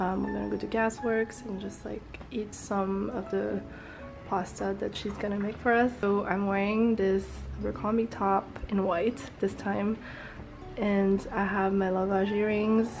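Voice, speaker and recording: With music in the background, a woman speaks at a fairly slow pace in a medium pitch with monotone, flat intonation. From France. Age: 20s. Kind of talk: casual vlog talk to camera.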